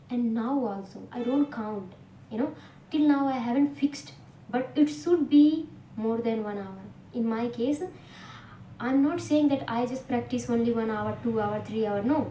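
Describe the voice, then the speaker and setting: With a dark, mellow tone and a fairly high pitch, a woman talks at a moderate pace, her intonation lively and her pauses long and frequent. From India, Bhojpuri-speaking region. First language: Bhojpuri/Hindi. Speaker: English teacher. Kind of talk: tutorial. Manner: halting, many fillers.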